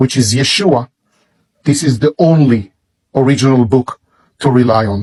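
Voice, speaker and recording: The speaker talks with an Israeli accent. Long, frequent pauses break up the speech. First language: Hebrew. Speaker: religious book promoter. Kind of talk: product presentation. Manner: slow.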